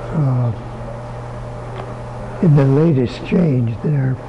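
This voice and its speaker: Speaking at a very slow pace with ordinary pitch variation, a man is heard over noticeable background noise. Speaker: bow hunter and bow company owner. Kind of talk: interview answer. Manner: soft-spoken, easy-going. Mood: easy-going, soft-spoken.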